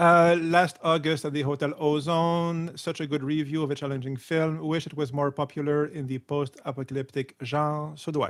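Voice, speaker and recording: In a very clean recording with a silent background, a man speaks with a Quebec accent at a moderate pace. His pitch is fairly high, and his intonation is monotone and flat. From Quebec, small town. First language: French. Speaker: YouTube film critic. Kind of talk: live stream reading comments. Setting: live stream. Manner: halting, many fillers.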